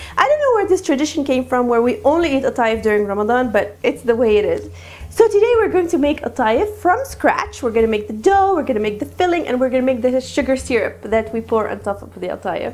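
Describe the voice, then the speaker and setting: A woman talks at a very fast pace with hardly any pauses. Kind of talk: cooking tutorial intro. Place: kitchen. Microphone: lapel.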